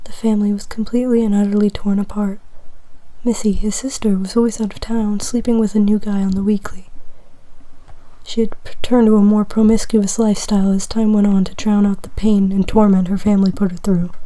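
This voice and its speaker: A whispering voice that moves at a fairly quick pace. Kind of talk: ASMR whispered fiction reading, comedic fanfic. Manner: whispered.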